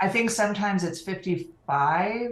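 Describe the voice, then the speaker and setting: A woman speaks with a General American accent, her voice somewhat breathy. Room echo is audible. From California. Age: 50s. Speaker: online community program manager. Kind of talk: interview.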